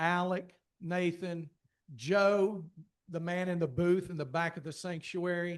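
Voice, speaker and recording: Against a quiet background, a man with a strong Appalachian accent speaks at a high pitch and a fairly slow pace with fairly even intonation. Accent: strong rural Appalachian. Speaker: church communications director. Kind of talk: casual thank-you remarks to a class.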